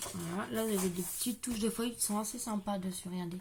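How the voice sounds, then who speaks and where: Soft-spoken and somewhat breathy, a woman at medium pitch talks at a fairly quick pace with fairly even intonation. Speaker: crafting youtuber. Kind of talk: product haul video. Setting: at home.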